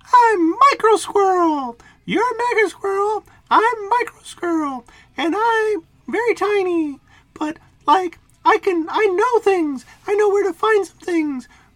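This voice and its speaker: An extremely high, squeaky, put-on character voice is used here. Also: fairly slow pace. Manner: quirky, earnest.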